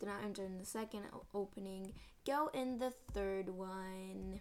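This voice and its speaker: Over background music, a woman speaks in an enthusiastic tone with ordinary pitch variation. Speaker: podcaster and Roblox player. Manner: toning herself down to save a failing voice.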